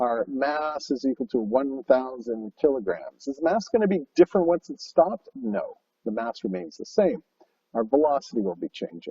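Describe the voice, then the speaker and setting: A man talks at a moderate pace. The sound is dry and close with no echo. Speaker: high school physics teacher. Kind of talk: lecture.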